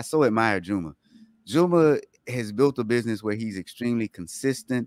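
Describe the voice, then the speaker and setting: A man at a moderate pace with ordinary pitch variation, in a very clean recording with a silent background and a dry, close sound with no echo. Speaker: co-host of live LinkedIn show. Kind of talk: casual chat, live show. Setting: live stream. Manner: joking, playful.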